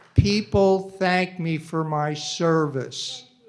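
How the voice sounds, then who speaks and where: Very slow speech with fairly even intonation. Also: man. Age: 80s+. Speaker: public commenter, war veteran. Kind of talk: public comment at hearing. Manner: loud, aggressive.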